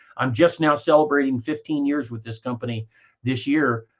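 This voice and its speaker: At a moderate pace, a man with a Midwestern American accent speaks at a medium pitch. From Kansas. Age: 60s. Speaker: network marketer. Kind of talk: interview. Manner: halting.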